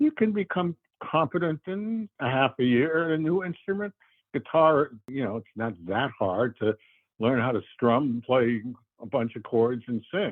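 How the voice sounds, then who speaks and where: A man with a medium pitch speaks in very wide pitch swings. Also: moderate pace. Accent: American. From New York. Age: 80s+. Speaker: veteran bluegrass musician and jam host. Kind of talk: interview. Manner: halting.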